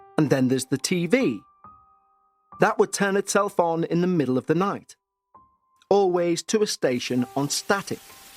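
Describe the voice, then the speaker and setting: A man's high-pitched voice at a moderate pace with long, frequent pauses, a dry, close sound with no echo, and music in the background. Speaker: podcast host, narrator. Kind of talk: paranormal story narration.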